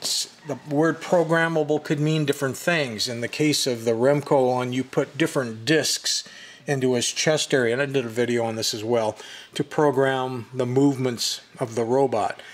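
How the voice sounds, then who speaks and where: The speaker is a man going at a moderate pace. His intonation stays fairly even. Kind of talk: casual explanatory commentary. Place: shop. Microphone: phone near.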